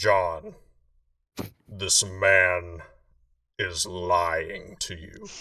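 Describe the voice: A very deep, low put-on character voice from a man.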